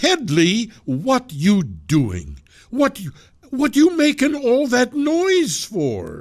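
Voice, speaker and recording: Putting on a character voice, a man speaks very slowly at an extremely high pitch with very wide pitch swings. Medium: read story. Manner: blunt, impatient.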